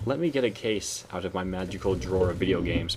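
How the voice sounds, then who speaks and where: This is a man talking. His pitch sits very deep and low. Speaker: gaming youtuber. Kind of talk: video commentary. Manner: fast.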